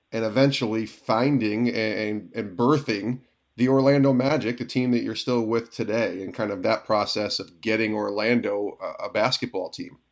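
Fairly even intonation shapes a man's ordinary speaking voice at a medium pitch. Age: 40s. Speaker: podcast host. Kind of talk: interview.

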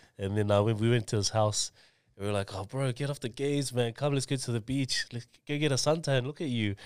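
The speaker has an Auckland accent and a very fast pace with ordinary pitch variation. The recording is very clean, with a silent background. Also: man, medium pitch for a man. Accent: New Zealand (South Auckland). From New Zealand, South Auckland (Mangere). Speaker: education business founder. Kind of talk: casual chat.

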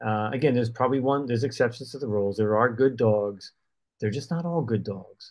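Here is a man with an unremarkable speaking voice at a fairly quick pace. His pitch is medium, with ordinary variation. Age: 60s. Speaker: runner and podcast co-host. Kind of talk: casual chat. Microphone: connection issues.

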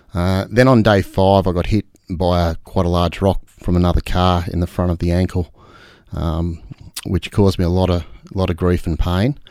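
A man with an Australian accent speaks at a moderate pace in a very deep, low voice with a dark, mellow tone. His intonation stays fairly even, and the recording is very clean over a silent background. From Australia, Albury region. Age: 50s. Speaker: off-road motorcycle racer and business owner. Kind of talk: casual interview.

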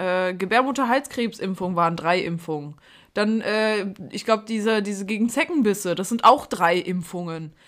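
A plain, everyday voice from a woman at medium pitch, with ordinary pitch variation and a moderate pace. The recording is very clean with a silent background. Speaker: podcast co-host. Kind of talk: casual chat.

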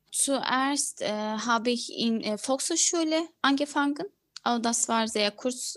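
A high-pitched woman with a Turkish accent at a fairly slow pace. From Turkey (Ankara). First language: Turkish (speaking German). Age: 20s. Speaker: former lawyer, new mother. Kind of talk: interview. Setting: video call. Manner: halting, many fillers.

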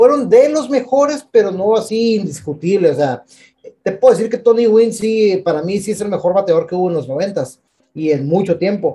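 A man with a high pitch and a dark, mellow tone. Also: moderate pace. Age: 30s. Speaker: podcast co-host. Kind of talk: casual chat. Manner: halting.

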